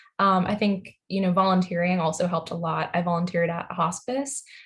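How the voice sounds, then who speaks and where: A woman speaks fairly quickly in an American accent. Her voice is somewhat breathy. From Long Island, New York. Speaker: medical student. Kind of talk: video call introduction. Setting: video call.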